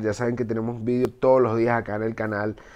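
A fairly quick pace over a quiet background. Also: man. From Venezuela. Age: 20s. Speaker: gaming YouTuber. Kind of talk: casual gameplay commentary.

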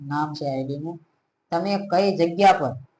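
High male pitch, fairly even in its intonation. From India, Gujarat, Bhavnagar district. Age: 20s. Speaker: YouTuber, diamond worker. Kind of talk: casual Q&A video.

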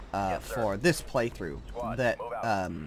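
A man with vocal fry, over noticeable background noise. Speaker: game commentator. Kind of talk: gameplay commentary.

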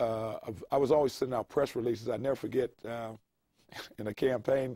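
A man with a dark, mellow tone and medium pitch talks at a fairly quick pace with fairly even intonation. The sound is dry with no echo, and the background is quiet. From Pittsburgh, Pennsylvania. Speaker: retired state legislator. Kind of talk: oral history interview. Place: studio. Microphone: lapel.

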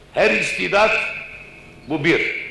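Speech comes at a very slow pace, with audible room echo and light background noise. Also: man. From Istanbul, Turkey; Turkey. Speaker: poet and thinker; speaker. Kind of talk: public lecture. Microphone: old recording.

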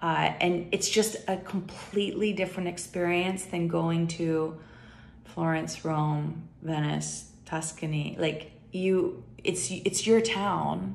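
Very slowly and with fairly even intonation, a woman speaks at a fairly low pitch in an American accent. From United States. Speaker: YouTuber. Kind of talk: casual vlog talk. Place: home room. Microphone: phone near.

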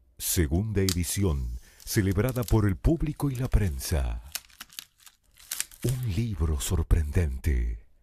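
A man with a very deep, low pitch and a dark, mellow tone talks very slowly, somewhat breathily, with very wide pitch swings and long, frequent pauses. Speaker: voice-over announcer. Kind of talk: promotional voice-over. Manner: emphatic.

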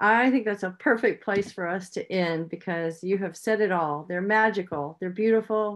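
A woman talks at a moderate pace, and her pitch varies in an ordinary way. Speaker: rescue organization host. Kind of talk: moderating a Q&A. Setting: video call. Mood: warm, appreciative. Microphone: video call.

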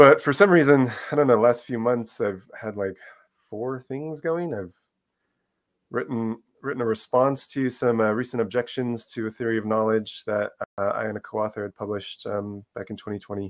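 The background is quiet as a man speaks at a moderate pace. His loudness swings widely, while his pitch varies in an ordinary way. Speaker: guest. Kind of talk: interview answer. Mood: relaxed, smiling. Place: home room.

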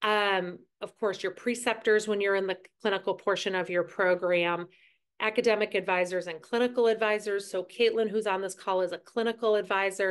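A woman talks at a fairly quick pace in a monotone, flat intonation. The background is quiet. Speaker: nursing school clinical director. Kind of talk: online information session presentation. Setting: video call. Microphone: video call.

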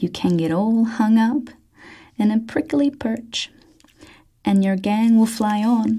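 A soft-spoken woman talks at a very slow pace against a quiet background. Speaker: ASMR reader. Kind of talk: ASMR book reading. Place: studio.

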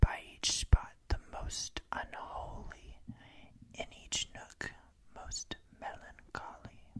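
A man whispering at a very slow pace. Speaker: poetry reader. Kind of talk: poetry reading aloud. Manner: soft-spoken, hushed reading voice. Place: home room. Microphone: studio mic.

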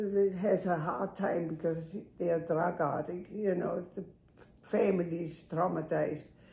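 A woman speaks in a somewhat breathy voice with a dark, mellow tone. Room echo is audible. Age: 80s. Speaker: longtime patient. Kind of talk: interview. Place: home room. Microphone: camera far.

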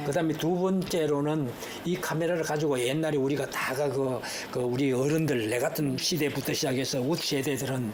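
A man's fairly high voice at a fairly quick pace, very even in loudness and fairly even in intonation, over noticeable background noise. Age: 80s+. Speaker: museum director. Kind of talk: interview answer.

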